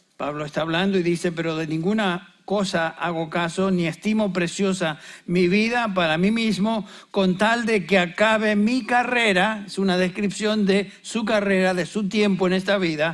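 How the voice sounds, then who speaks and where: A man speaks at a high pitch and a fairly slow pace. Audible room echo surrounds his voice. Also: fairly even intonation. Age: 70s. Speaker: pastor. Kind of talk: sermon.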